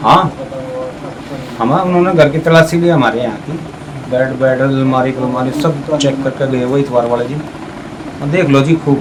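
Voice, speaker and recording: A man with a fairly high pitch is heard through noticeable background noise and audible room echo. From Panipat, Haryana, India. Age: 60s. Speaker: relative of arrested man. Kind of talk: street interview.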